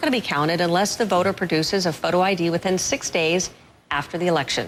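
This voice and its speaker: Noticeable background noise behind a woman's voice at a medium pitch. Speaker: news anchor. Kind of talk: TV news interview.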